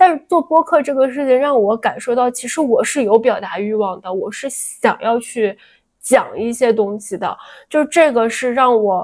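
Her voice is high, and her intonation is lively. The woman speaks at a moderate pace. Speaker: podcast co-host. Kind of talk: casual chat. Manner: soft-spoken.

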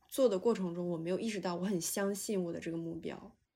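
A woman speaks at a medium pitch in a dark, mellow tone. Her intonation stays fairly even. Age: 20s. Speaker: graduate student. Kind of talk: casual chat. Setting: video call.

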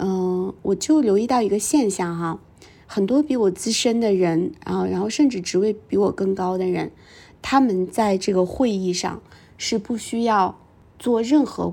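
A woman's medium-pitched voice, dark and mellow in tone, comes through a very clean recording with a silent background. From northern China, small town. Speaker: podcast host and executive coach. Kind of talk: personal storytelling monologue.

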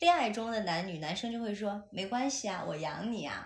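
Audible room echo surrounds a somewhat breathy woman whose pitch swings very widely. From China, Chengdu. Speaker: podcast co-host, broadcasting graduate. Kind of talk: casual chat. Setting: at home, in person. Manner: animated.

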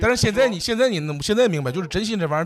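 A man is talking. The pitch of his voice moves over a very wide range. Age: 30s. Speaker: stand-up comedian. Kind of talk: casual chat. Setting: hotel room.

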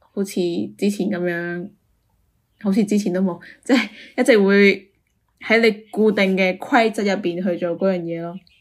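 In a very clean recording with a silent background, a woman uses an ordinary speaking voice at medium pitch, with fairly even intonation and a moderate pace. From Guangdong, China. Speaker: podcast co-host. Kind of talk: casual chat.

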